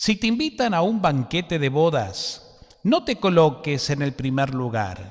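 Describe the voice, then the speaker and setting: A man with an Argentine accent speaks at a fairly slow pace, his pitch swinging very widely. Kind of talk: liturgical gospel reading.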